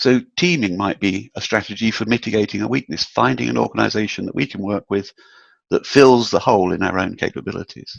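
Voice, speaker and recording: Over a quiet background, a man with a British accent talks at a fairly quick pace and fairly low pitch, using lively intonation and vocal fry, in a dry, close sound with no echo. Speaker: proposal and capture management consultant. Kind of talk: webinar presentation. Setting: online webinar. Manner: some hesitations and fillers.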